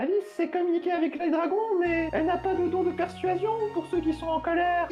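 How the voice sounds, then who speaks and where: Someone does a put-on character voice at a fairly quick pace against clear background noise. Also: woman. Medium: read story. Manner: casual, inquisitive.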